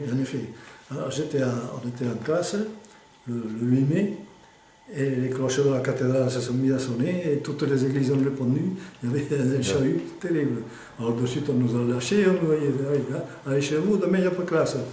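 Talking at a fairly quick pace with ordinary pitch variation, a man leaves long, frequent pauses amid audible room echo and light background noise. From Aude, France. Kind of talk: interview answer. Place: home room. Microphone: phone near.

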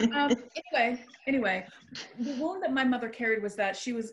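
A woman is speaking. Her pace is fairly quick. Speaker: metaphysical minister and hypnotist. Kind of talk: casual chat. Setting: video call. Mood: earnest, reflective personal sharing. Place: home room. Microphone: video call.

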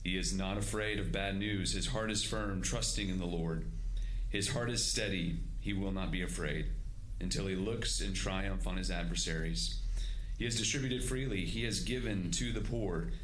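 A man talks at a moderate pace with very even loudness. There is light background noise. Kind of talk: scripture reading and prayer. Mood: solemn, reverent. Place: hall. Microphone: podium.

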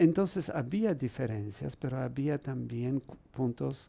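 Speaking very slowly in a Polish accent, a man uses a fairly high pitch, a dark, mellow tone and lively intonation. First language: Polish (speaking Spanish). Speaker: priest and musicologist; priest. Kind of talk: interview. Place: studio. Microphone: headset.

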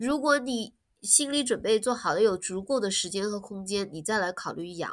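A woman has a normal speaking voice with fairly high pitch. Her intonation is lively at a moderate pace. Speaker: animal rescue volunteer and business owner. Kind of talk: casual interview. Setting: online call.

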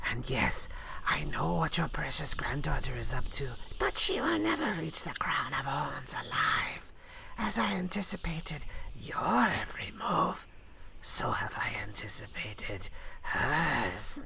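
A put-on character voice, whispering at a fairly slow pace. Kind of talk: read-aloud comic dub with character voices. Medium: read story.

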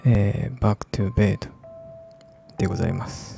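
Whispering quietly in a soothing tone, a man's dry sound with no echo sits over music in the background. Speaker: ASMR game streamer. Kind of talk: casual talk to camera while playing a game. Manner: quiet, whispery, slow, soothing. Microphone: studio mic.

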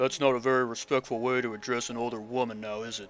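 In a put-on character voice, a man speaks very fast at a medium pitch with monotone, flat intonation and big swings in loudness over clear background noise. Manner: indignant, stern.

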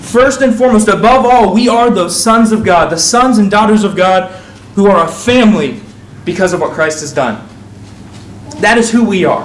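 At a moderate pace and with ordinary pitch variation, the speech comes through light background noise and audible room echo. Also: man. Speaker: preacher. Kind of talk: sermon. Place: church. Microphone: lapel.

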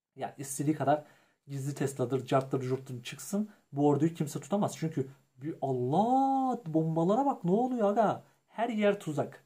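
The voice sounds animated, moving at a moderate pace with very wide pitch swings. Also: man, fairly high pitch for a man. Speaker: gaming youtuber. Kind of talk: gameplay commentary.

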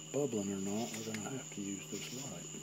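Loud background noise sits behind a man as he speaks. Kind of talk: casual demonstration commentary. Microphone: phone near.

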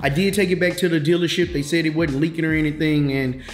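A man with ordinary pitch variation, audible room echo and faint music in the background. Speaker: car hobbyist vlogger. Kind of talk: casual vlog chat. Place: kitchen.

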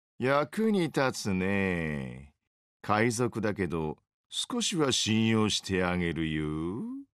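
A man speaks in a put-on character voice, drawling at a very slow pace with a fairly low pitch and very wide pitch swings, on a very clean recording with a silent background. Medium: dub. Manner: laid-back, drawling, sarcastic.

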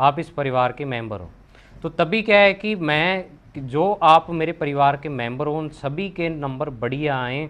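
The speech moves at a fairly slow pace. Pitch variation is ordinary. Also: man, fairly high pitch for a man, big swings in loudness. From Rajasthan, Hanumangarh district; Rajasthan. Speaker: physics teacher. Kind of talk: casual talk to students. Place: home room. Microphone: lapel.

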